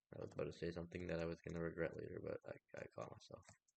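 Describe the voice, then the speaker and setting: A soft-spoken man. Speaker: gaming video creator. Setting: solo recording.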